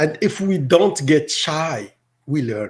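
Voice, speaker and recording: A man with an Arabic accent, fairly high in pitch, with lively intonation. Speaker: teacher. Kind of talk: interview.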